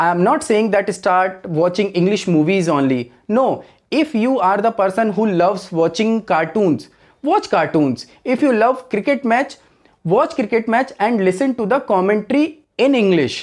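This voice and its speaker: A man with an Indian accent and a high pitch, lively intonation, very even loudness and a moderate pace. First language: Hindi. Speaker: English teacher. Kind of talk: tutorial.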